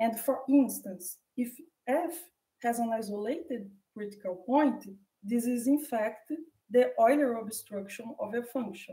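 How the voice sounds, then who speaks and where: Over audible room echo, a woman with a Portuguese accent speaks at a fairly slow pace, her fairly high pitch showing ordinary variation and a dark, mellow tone. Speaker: mathematician. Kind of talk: lecture. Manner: halting.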